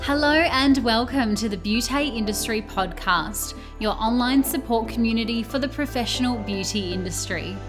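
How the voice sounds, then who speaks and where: Music plays in the background as a woman speaks. She keeps a moderate pace with hardly any pauses. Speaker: podcast host. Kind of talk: podcast intro read.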